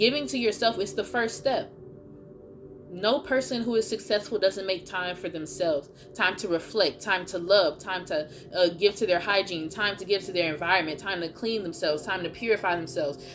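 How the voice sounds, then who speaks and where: Music runs underneath the voice. The talking moves along fairly quickly, with typical rises and falls in pitch. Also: woman, medium pitch for a woman. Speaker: tarot card reader. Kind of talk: collective tarot reading. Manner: animated.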